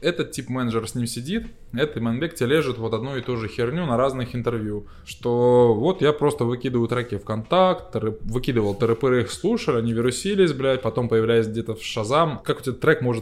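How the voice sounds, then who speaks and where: A man talks at a fairly quick pace and medium pitch in a plain, everyday voice with ordinary pitch variation. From Belarus, Gomel region. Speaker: electronic musician. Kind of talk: casual chat.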